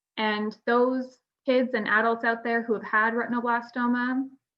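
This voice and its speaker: In a Canadian accent, a woman speaks with a plain, everyday voice. Her intonation is fairly even and her pace moderate. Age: 30s. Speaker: retinoblastoma survivor, panel speaker. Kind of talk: conference panel talk. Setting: virtual conference video call.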